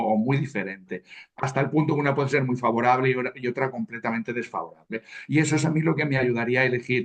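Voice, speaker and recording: Talking at a very fast pace, a man keeps his pitch in the medium range. It varies in an ordinary way. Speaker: I Ching practitioner. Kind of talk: casual discussion among colleagues.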